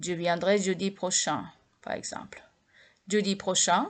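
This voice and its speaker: Over a quiet background, a woman with a medium pitch talks at a very slow pace. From Japan. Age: 60s. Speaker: language teacher. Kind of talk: lecture. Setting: home video recording at night. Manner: halting.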